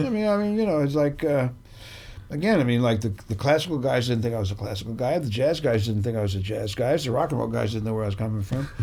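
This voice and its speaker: Audible room echo surrounds a man speaking at a very fast pace, medium pitch, with lively intonation. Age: 70s. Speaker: bass trombonist. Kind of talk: interview conversation. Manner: casual, halting.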